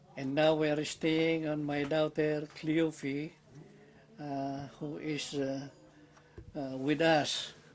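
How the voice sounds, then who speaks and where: In a Filipino accent, a man speaks very slowly in a monotone, flat intonation, with long, frequent pauses. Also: fairly high pitch for a man. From Philippines. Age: 80s+. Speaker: war veteran. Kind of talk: interview. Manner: halting.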